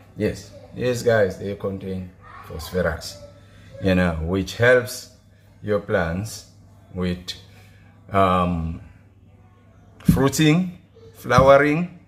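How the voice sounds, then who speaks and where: This man speaks with a non-native accent at a very slow pace. His pitch is fairly low, with ordinary pitch variation. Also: long, frequent pauses. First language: not English. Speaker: gardening vlogger. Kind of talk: tutorial. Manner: casual; halting.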